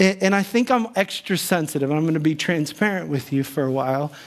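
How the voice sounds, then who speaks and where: A man with a high pitch talks at a moderate pace. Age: 40s. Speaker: pastor. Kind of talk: sermon. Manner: halting.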